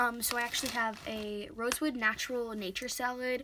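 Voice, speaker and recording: A woman with an American accent speaks at a high pitch. Noticeable background noise runs through the clip. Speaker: pet care vlogger. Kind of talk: tutorial. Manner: fast; hesitant, many fillers.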